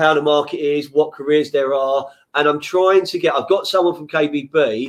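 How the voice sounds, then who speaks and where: Speaking at a moderate pace, a man with a London accent has a fairly high pitch. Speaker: podcast host. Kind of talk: casual interview chat. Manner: passionate, animated.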